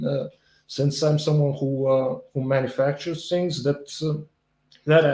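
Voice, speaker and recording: This man has a fairly high pitch and a dark, mellow tone that is somewhat breathy. He talks at a fairly slow pace with a Bulgarian accent and a monotone, flat intonation. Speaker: video blogger commenting on politics and economics. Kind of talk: solo commentary reacting to a quiz. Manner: halting, many fillers and restarts.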